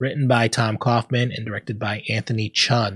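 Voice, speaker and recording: A man's voice at a medium pitch. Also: dry, close sound with no echo. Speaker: podcast host. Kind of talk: casual chat. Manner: animated.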